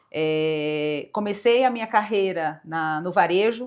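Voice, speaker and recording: A woman's fairly low voice with ordinary pitch variation, in a Brazilian accent. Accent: non-São Paulo Brazilian accent, noticeable. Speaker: corporate executive. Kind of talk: interview.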